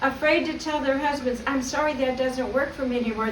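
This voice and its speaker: A woman talks in a high pitch, with audible room echo in the recording. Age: 60s. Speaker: graduate giving acceptance speech. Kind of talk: graduation acceptance speech. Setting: video call ceremony.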